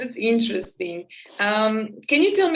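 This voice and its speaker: A woman with a Slovak accent speaks in a fairly high pitch. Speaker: podcast host and teacher. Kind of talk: casual interview.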